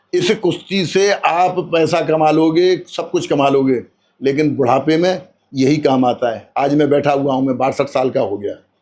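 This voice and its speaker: A man with a plain, everyday voice speaks rather high in pitch, his intonation rising and falling in the usual way. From Braj region, Uttar Pradesh, India. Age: 60s. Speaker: retired wrestler. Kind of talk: interview.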